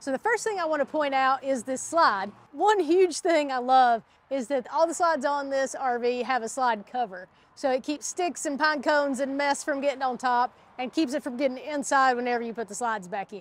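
A woman speaks in a high pitch, the sound dry with no echo. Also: lively intonation, moderate pace. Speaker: RV tour host. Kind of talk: tutorial. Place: open country. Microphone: lapel.

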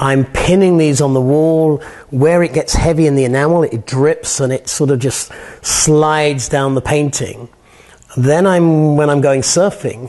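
Over a quiet background, a man with an American accent and a dark, mellow tone speaks fairly slowly at a fairly high pitch, his intonation fairly even and loudness very even. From northern England. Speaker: artist. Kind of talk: interview. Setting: artist's studio. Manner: repetitive, halting with fillers. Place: workshop. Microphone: lapel.

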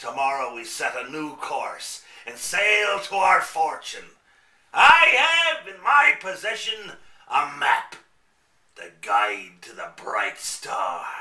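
Speaking at a very slow pace, a man with a high pitch shows big swings in loudness against a slight echo. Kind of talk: theatrical radio play villain. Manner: pompous, scheming.

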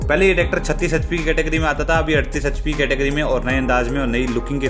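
A man talking at a fairly quick pace, with clear music in the background. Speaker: tractor reviewer. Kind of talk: product review commentary. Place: open country. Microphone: phone near.

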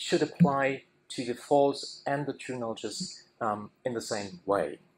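Light background noise sits behind a man with lively intonation. His voice carries vocal fry. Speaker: conference speaker. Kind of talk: lecture. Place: hall. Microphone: podium.

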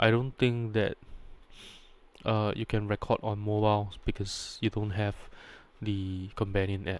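A man's fairly low voice, with little pitch movement, long and frequent pauses, and a fairly slow pace.

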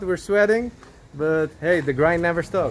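Speaking at a fairly slow pace, a man uses a fairly high pitch with ordinary pitch variation.

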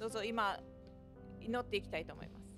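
Clear music plays in the background. Over it, a woman speaks with fairly even intonation. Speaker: interpreter for the preacher. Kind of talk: live interpretation of a sermon. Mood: calm, reverent. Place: church. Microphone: podium.

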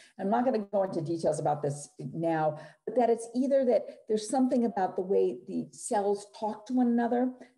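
Lively intonation marks this woman's speech at a fairly quick pace with hardly any pauses. The background is quiet. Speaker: neuropsychologist presenter. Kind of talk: clinical, explanatory.

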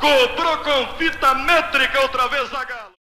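A man's raised, projected voice, extremely high in pitch, with ordinary pitch variation. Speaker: radio sports commentator. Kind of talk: live radio football match commentary. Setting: vintage 1962 radio broadcast recording.

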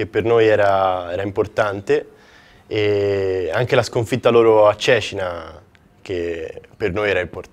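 An unremarkable speaking voice at a fairly slow pace, with lively intonation. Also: man. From Florence, Italy. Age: 20s. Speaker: basketball player. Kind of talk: interview.

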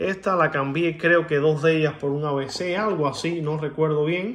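A man with a fairly high voice and a bright, sharp tone talks with ordinary pitch variation against a quiet background. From Cuba. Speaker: coin collector YouTuber. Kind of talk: casual video monologue showing coins. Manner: animated; hesitant with filler sounds. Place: home room. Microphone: phone near.

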